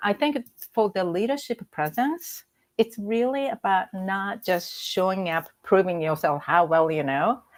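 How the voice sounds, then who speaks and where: With a Japanese accent, a woman of medium pitch speaks at a fairly slow pace with lively intonation, on a very clean recording with a silent background. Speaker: executive coach. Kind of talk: interview conversation.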